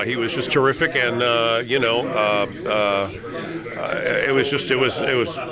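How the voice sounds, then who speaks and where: A man with an American accent talks at a moderate pace with hardly any pauses and ordinary pitch variation. Noticeable background noise runs under his voice. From Detroit area, USA. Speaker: veteran radio personality, forty years on New York radio. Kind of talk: casual interview answer, reminiscing. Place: cafe.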